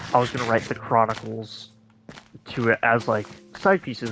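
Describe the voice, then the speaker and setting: A man with a medium pitch talks over noticeable background noise. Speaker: gaming streamer. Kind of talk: casual chat. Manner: halting.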